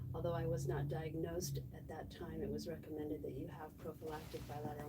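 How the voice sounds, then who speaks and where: Audible room echo and noticeable background noise surround a woman speaking at a fairly quick pace. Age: 60s. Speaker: patient, former dosimetrist. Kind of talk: interview testimony. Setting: live stream with microphones.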